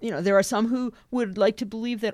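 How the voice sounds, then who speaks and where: On a very clean recording with a silent background, a woman speaks in a Western Canadian accent. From southeast British Columbia, Canada. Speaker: missions leader, former missionary. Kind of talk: podcast interview.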